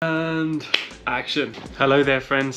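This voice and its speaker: A man speaks with a British accent. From UK. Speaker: running vlogger. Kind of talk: vlog monologue. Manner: casual, chatty.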